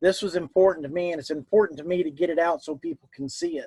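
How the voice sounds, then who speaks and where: Dry, close sound with no echo, a man with a Southern US accent, fairly high pitch and ordinary pitch variation. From US South. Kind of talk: interview.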